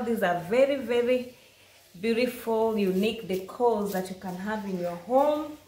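A somewhat breathy woman talks at a moderate pace with ordinary pitch variation, and there is audible room echo. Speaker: craft seller showing products. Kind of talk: product showcase narration. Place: home room. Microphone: phone near.

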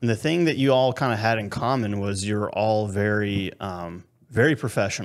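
With a normal speaking voice, a man talks at a moderate pace and a fairly low pitch, showing ordinary pitch variation in a quiet background. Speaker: podcast host. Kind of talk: casual interview chat. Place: home room. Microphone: studio mic.

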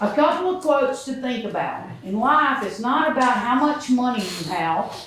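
The speaker talks at a fairly slow pace in a Mississippi accent, with noticeable background noise. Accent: Mississippi Southern. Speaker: resident speaking at public meeting. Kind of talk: public comment speech. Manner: loud.

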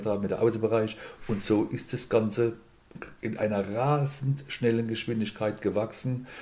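Fairly low in pitch, this man has a normal speaking voice, with ordinary pitch variation and a moderate pace. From Mannheim, Germany. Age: 50s. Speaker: boxing school owner and insurance broker. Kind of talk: podcast interview.

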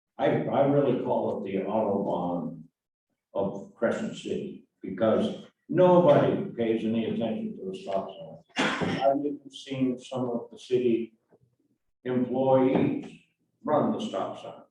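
Audible room echo surrounds a man of medium pitch who talks at a fairly slow pace with very wide pitch swings. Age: 80s+. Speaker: resident speaking at public comment. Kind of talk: public comment at city meeting. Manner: halting, with fillers.

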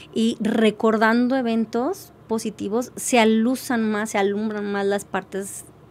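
Her intonation fairly even and her pitch fairly high, a woman speaks at a very slow pace. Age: 50s. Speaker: life coach; podcast guest. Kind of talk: interview. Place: studio. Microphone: studio mic.

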